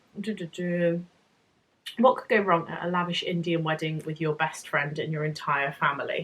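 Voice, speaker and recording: A woman in a British accent, with long, frequent pauses. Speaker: book vlogger. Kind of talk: casual chat. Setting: home, evening after shower.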